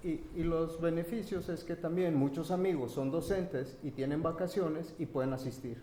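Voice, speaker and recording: Speaking at a moderate pace with hardly any pauses, a man with a high pitch comes through noticeable background noise and audible room echo. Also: ordinary pitch variation. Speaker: printmaking artist and event organizer. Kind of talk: round table talk. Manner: halting; soft-spoken.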